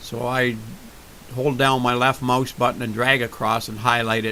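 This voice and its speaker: Noticeable background noise sits behind a man speaking at medium pitch in a monotone, flat way. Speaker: flight sim tutorial maker. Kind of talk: screen-recorded tutorial. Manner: slow, deliberate; hesitant, with fillers.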